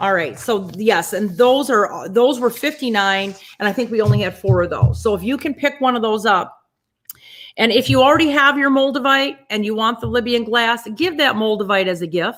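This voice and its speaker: A woman speaks with lively intonation. Her pitch is fairly high. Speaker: astrologer and crystal seller. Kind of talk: sales pitch. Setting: webinar. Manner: fast.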